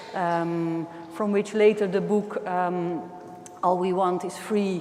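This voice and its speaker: A woman's medium-pitched, monotone, flat delivery with audible room echo and noticeable background noise. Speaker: artist. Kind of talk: lecture. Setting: gallery classroom with microphone.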